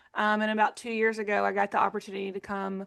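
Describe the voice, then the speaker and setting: Speaking very fast, a woman with an Arkansas accent talks at a medium pitch. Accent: Arkansas Southern US. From Arkansas, US South. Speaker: nonprofit executive director, former utility communicator. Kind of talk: video-call interview.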